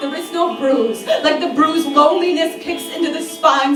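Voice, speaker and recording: Woman speaking at a high pitch and moderate pace, with fairly even intonation, against noticeable background noise. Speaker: slam poet. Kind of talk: slam poetry performance. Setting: live venue.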